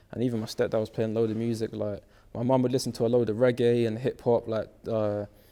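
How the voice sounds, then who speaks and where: The man's tone is dark and mellow. He speaks at a very fast pace with monotone, flat intonation. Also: medium pitch for a man. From West London. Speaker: rapper. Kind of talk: interview.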